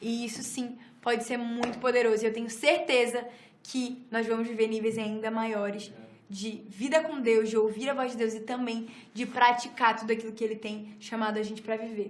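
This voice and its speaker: A woman speaks in a fairly high, monotone voice with flat intonation. The room echoes audibly, and background noise is noticeable. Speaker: church teacher. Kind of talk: lecture; prayer ministry. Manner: fast.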